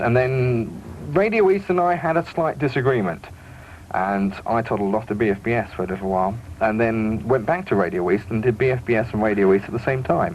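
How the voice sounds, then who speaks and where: A man with a British accent talks at a very fast pace. His pitch is medium and his intonation lively. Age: 20s. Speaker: radio DJ. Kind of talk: radio interview. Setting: radio studio.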